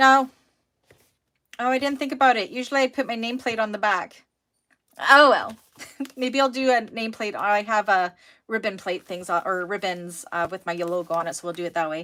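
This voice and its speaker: Mumbling at a fairly quick pace with long, frequent pauses, a woman with a Canadian accent uses a fairly high pitch, a bright, sharp tone and lively intonation. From Canada. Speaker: sewing teacher. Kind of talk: live online class. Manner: casual, chatty.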